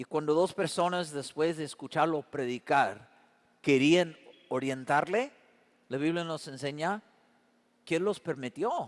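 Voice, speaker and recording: Pausing long and often, a man speaks at a fairly slow pace in a fairly high pitch with ordinary variation. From Canada. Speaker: pastor. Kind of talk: sermon.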